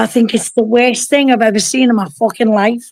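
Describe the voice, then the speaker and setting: A woman's fairly high-pitched voice with an animated tone. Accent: Liverpool. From northern England, Liverpool. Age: 60s. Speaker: caller. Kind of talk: casual chat.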